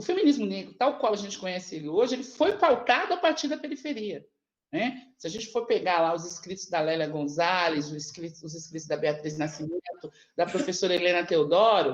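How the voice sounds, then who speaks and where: A woman speaks with very wide pitch swings and big swings in loudness. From Brazil, São Paulo. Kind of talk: panel talk. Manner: halting, many repetitions.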